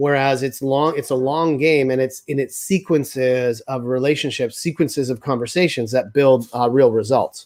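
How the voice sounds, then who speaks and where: With hardly any pauses, a man speaks at a medium pitch and fairly even intonation. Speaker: sales consultant. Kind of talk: interview. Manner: fast.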